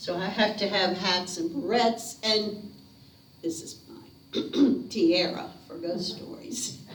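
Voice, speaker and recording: This woman has a medium pitch and a Southern US accent, with ordinary pitch variation. She talks at a very slow pace over noticeable background noise. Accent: Southern American. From North Carolina. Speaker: storyteller. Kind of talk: ghost story telling to a live audience. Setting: living room. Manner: theatrical, lively.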